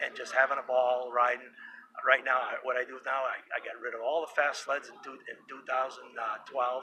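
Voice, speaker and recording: A man at a moderate pace with big swings in loudness, over noticeable background noise. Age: 60s. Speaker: retired snowmobile racer. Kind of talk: interview. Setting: induction ceremony event.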